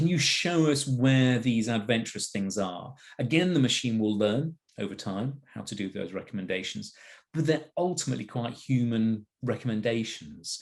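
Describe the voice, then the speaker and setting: A medium-pitched man with an English accent, lively intonation and a moderate pace. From England. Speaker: wine platform executive. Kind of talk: product presentation. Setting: video call.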